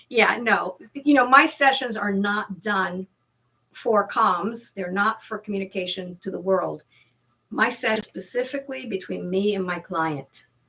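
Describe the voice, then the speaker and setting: In an ordinary speaking voice, a woman talks fairly slowly at a medium pitch with ordinary pitch variation. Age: 60s. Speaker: hypnotherapist. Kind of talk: casual chat.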